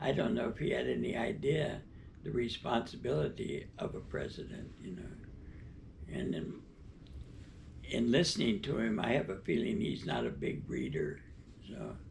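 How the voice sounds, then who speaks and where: Speaking at a moderate pace, a man leaves long, frequent pauses amid audible room echo. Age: 90s. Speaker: interviewee. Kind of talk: interview. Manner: halting.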